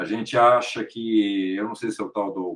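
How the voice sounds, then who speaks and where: Here a man speaks with a fairly low pitch. His pace is fairly slow. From Brazil, São Paulo. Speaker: actor and podcaster. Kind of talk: interview.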